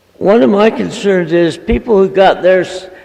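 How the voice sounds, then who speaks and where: At a moderate pace, a man speaks with a high pitch and ordinary pitch variation over noticeable background noise. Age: 80s+. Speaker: panelist, project management pioneer. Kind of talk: panel discussion.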